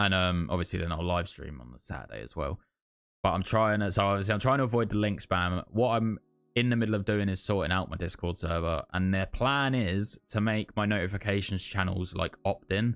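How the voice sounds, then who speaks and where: Fairly quick speech in a British accent with ordinary pitch variation, on a very clean recording with a silent background. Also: man, fairly low pitch for a man. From UK. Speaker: gaming streamer. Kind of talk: casual livestream chat. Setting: livestream. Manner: casual, rambling with fillers.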